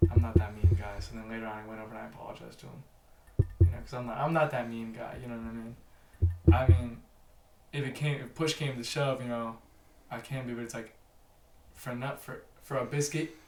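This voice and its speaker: Speech comes at a very fast pace, broken by long, frequent pauses and big swings in loudness. Audible room echo surrounds the voice. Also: man, medium pitch for a man, ordinary pitch variation. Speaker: podcast guest. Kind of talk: casual chat. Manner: animated.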